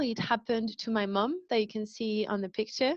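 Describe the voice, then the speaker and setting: With a French accent, a woman speaks at a fairly high pitch with ordinary pitch variation. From France. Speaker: wellbeing company founder, speaker. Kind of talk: public talk. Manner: hesitant, frequent um fillers.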